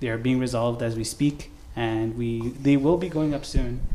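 Over noticeable background noise, a man of medium pitch speaks with fairly even intonation. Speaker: youth service host. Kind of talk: church youth service. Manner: casual, filler-heavy.

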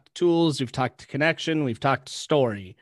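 In an unremarkable speaking voice, a man with an American accent talks fairly quickly at a fairly high pitch, the sound dry and close with no echo over a quiet background. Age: 20s. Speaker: podcast host. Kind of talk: casual interview chat.

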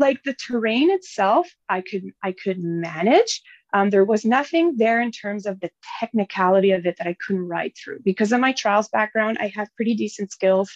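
A woman with a Franco-Ontarian accent speaks at a moderate pace and medium pitch, her intonation lively and the sound dry and close with no echo. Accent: Franco-Ontarian Canadian English. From northern Ontario, French-Canadian (French River area). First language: French. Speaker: enduro motorbike rider and mining designer. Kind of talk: casual interview.

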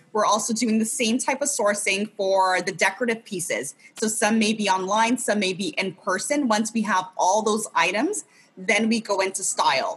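At a moderate pace, a woman with a fairly high pitch talks in a normal speaking voice. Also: ordinary pitch variation. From California, US. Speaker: interior designer. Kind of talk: casual chat.

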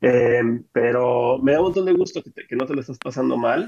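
The speaker is a man with a medium-pitched voice. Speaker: podcast co-host. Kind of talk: casual chat.

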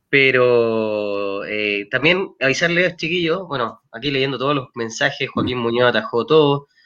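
Against a quiet background, a man with a bright, sharp tone speaks at a fairly slow pace with ordinary pitch variation. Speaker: football fan podcast host. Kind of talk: casual chat. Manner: animated.

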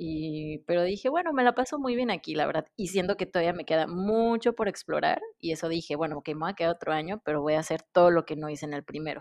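Over a quiet background, a woman with a fairly low voice races along at a very fast pace with lively intonation and hardly any pauses, the sound dry and close with no echo. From Mexico. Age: 30s. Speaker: dentist and former au pair. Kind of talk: casual chat.

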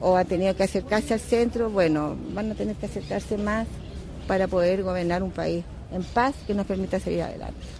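A woman with a plain, everyday voice, moderate pace and ordinary pitch variation. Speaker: voter. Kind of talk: street interview.

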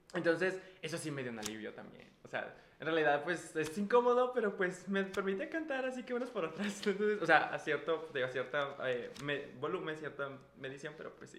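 Over noticeable background noise, a man talks at a fairly quick pace in a high voice. His pitch swings very widely, and his loudness shifts a lot. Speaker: microbiologist, former student of co-host. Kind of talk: casual chat. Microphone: echo in the room.

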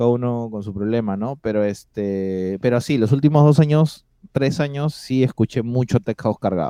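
A man of medium pitch speaks at a moderate pace with hardly any pauses and ordinary pitch variation. His tone is dark and mellow, and the sound is dry and close with no echo. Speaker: DJ and producer. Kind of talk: casual interview chat.

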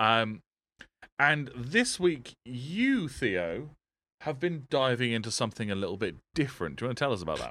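A man with an English accent, medium pitch, a bright, sharp tone, moderate pace and lively intonation. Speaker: podcast host. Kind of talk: casual chat. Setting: live stream with Skype call.

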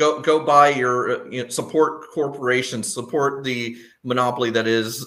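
At a moderate pace, a man speaks in an ordinary speaking voice with medium pitch and fairly even intonation. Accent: American. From Texas. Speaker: podcast guest, longtime patron. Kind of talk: casual chat.

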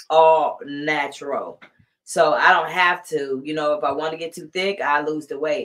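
The speaker has an American accent and an animated tone. Delivery is fairly slow, with ordinary pitch variation. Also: woman. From US South, Columbus, Georgia. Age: 50s. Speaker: livestream commentator. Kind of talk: casual livestream commentary.

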